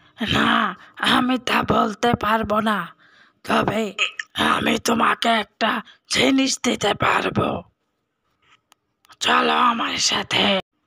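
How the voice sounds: A raspy, female-sounding cartoonish character voice, fairly high-pitched, at a very slow pace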